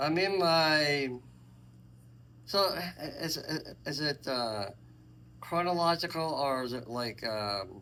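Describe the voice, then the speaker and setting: A man with a fairly high pitch and a bright, sharp tone speaks at a very slow pace with long, frequent pauses. His intonation is lively, and audible room echo surrounds him. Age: 60s. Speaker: senior interviewee. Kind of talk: casual interview.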